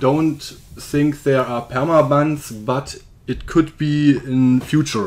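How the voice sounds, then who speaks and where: Speaking with a German accent, a man keeps his intonation fairly even. His pace is very slow. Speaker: software developer. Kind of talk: tutorial. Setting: screen recording. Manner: halting.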